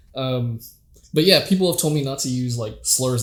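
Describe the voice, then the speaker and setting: Somewhat breathy and medium in pitch, a man's voice comes through. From Canada. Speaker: podcast host and amateur comedian. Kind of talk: casual chat. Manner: casual with frequent fillers.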